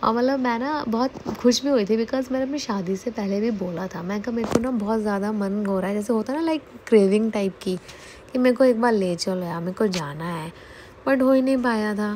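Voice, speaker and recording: A woman talks at a fairly quick pace in a fairly high voice, her pitch varying in an ordinary way. Noticeable background noise runs under her. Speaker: vlogger. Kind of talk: travel vlog voiceover.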